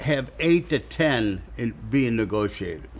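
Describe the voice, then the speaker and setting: A man with a St. Louis accent speaks at a very slow pace. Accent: Midwestern American (St. Louis). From US Midwest, South St. Louis, Missouri. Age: 80s+. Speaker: real estate investor. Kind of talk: casual interview chat.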